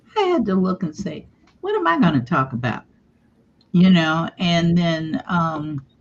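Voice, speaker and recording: The voice moves with lively intonation at a fairly slow pace. It sounds somewhat breathy. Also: woman. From Africa. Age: 70s. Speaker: contributing author. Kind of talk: casual interview.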